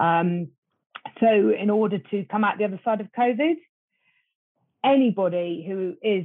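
A woman with a British accent talks with ordinary pitch variation. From Britain. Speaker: marketing agency executive. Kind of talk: panel discussion.

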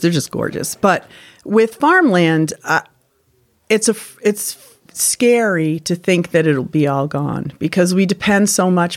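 Using a normal speaking voice, a woman talks in a fairly low register, her pitch moving in an ordinary way. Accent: American. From Connecticut. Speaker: former tobacco farm worker. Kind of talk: oral-history interview, reminiscing. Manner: reflective; warm, sentimental.

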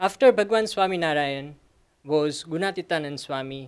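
A man with an Indian accent talks at a moderate pace with ordinary pitch variation. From Gujarat, India. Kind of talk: personal talk at an academic event. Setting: stage with audience.

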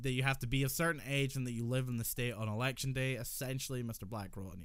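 A man talks with a Scottish accent. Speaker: podcast co-host. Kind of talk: casual chat.

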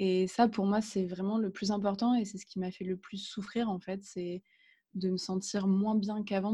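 A somewhat breathy woman speaks at a medium pitch and fairly slow pace against a quiet background. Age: 20s. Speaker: guest with agoraphobia. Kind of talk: interview testimony. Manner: halting.

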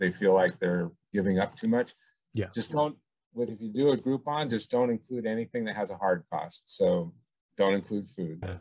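A plain, everyday voice with an American accent, moving at a fairly quick pace with ordinary pitch variation. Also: man. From California, Bay Area. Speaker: bowling center owner. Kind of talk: interview.

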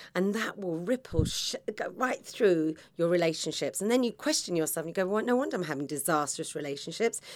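With lively intonation, a woman speaks at a medium pitch. She has a British accent, and the recording is very clean with a silent background. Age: 50s. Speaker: podcast host, confidence coach. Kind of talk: motivational monologue. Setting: podcast studio pod.

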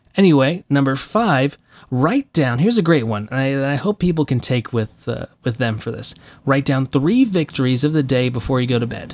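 In a very clean recording with a silent background and a dry, close sound with no echo, a man speaks at a medium pitch and a moderate pace with ordinary pitch variation. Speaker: voice actor and podcast host. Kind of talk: solo podcast monologue. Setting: home recording studio. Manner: mumbles; casual, with many fillers.

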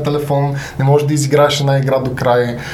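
Over noticeable background noise and audible room echo, a man speaks at a fairly quick pace. His pitch sits fairly high. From Bulgaria, Sofia. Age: 30s. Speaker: gamer and content creator. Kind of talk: casual interview.

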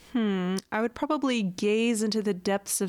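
An ordinary speaking voice from a woman, medium in pitch with ordinary pitch variation and a moderate pace, dry and close with no echo, in a very clean recording with a silent background. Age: 30s. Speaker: science podcast co-host. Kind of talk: casual chat.

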